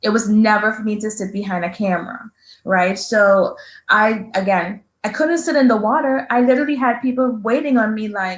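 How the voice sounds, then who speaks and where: Fairly high, somewhat breathy female speech at a moderate pace, its pitch varying in an ordinary way. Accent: strong Trinidadian. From Trinidad and Tobago. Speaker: entrepreneur and veteran. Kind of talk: interview.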